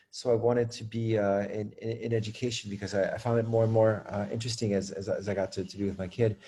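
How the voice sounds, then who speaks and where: An American-accented man speaks at a very fast pace with hardly any pauses, his voice fairly low, dark and mellow. His delivery is somewhat breathy, with monotone, flat intonation. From France. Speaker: school leader and educator. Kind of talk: interview. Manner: many fillers and repetitions.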